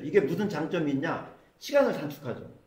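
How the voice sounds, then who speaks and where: Noticeable background noise and audible room echo around a man's speaking voice. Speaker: smartphone skills instructor. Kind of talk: classroom lecture. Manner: fast.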